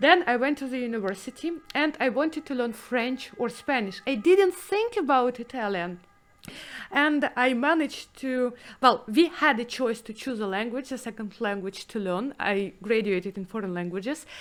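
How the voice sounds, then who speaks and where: In a Russian accent, a woman speaks at a moderate pace with a high pitch and lively intonation. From former Soviet Union. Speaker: 3D artist and podcast host. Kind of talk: casual chat. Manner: halting.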